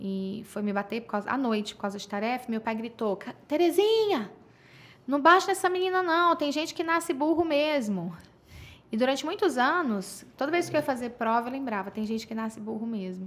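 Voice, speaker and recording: A woman talks with a high pitch. Her pitch swings very widely. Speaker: sexologist. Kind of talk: casual chat. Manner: fast; interrupts others.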